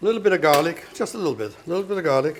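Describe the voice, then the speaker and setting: With a German accent and a high-pitched voice, a man speaks against noticeable background noise. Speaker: chef. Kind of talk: cooking demonstration.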